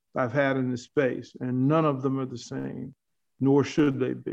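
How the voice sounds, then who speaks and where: Intonation here is flat and monotone. An American accent comes through. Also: man. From Arlington, Virginia. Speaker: sportscaster and coach. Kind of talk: casual chat.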